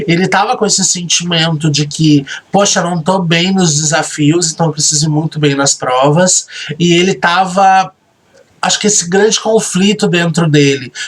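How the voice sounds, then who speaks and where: With very even loudness and fairly even intonation, a man speaks at a high pitch. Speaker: reality show host and admin. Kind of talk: recorded commentary. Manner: soft-spoken.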